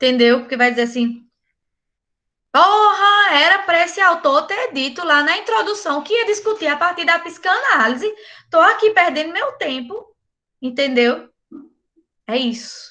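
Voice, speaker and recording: A woman with a bright, sharp tone uses a raised, projected voice, swinging very widely in pitch and pausing long and often. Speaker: university lecturer. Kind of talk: online lecture. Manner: casual, animated.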